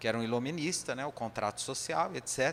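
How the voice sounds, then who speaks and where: A man talks at medium pitch. His intonation is lively. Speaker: spiritist lecturer. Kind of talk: lecture.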